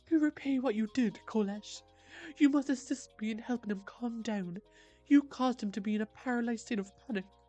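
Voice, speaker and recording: Putting on a character voice, a woman talks at a fairly quick pace with a fairly high pitch, faint music in the background. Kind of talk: grandiose archaic speech. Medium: game stream. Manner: lofty, formal.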